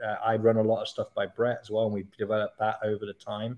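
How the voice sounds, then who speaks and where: A man with a Canadian accent speaks at a very fast pace. His medium-pitched voice has a dark, mellow tone. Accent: English with Canadian twang. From England. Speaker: CrossFit coach. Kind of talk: casual chat. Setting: video call.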